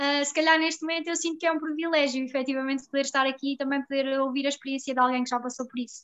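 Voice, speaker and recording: A woman's high-pitched voice at a very fast pace, in monotone, flat intonation. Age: 20s. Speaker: psychologist. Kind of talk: casual chat.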